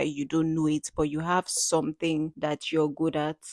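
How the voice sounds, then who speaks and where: A woman with a normal speaking voice and fairly low pitch speaks at a moderate pace, recorded very cleanly against a silent background with a dry, close sound and no echo. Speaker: podcast guest. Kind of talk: casual conversation.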